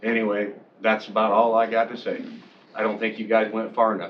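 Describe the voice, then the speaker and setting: A man with a medium pitch talks at a very fast pace against noticeable background noise. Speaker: public commenter at county meeting. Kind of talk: public comment. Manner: loud.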